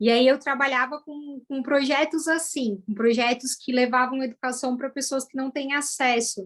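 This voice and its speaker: With hardly any pauses, a woman speaks at a high pitch in fairly even intonation, her loudness swinging widely. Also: moderate pace. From Brazil, São Paulo east zone. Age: 30s. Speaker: former educator turned data analyst. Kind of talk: interview testimony.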